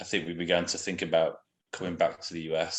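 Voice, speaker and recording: In a British accent, a man speaks with a very deep, low pitch against a quiet background. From England. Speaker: missionary. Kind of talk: interview. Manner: hesitant, many fillers.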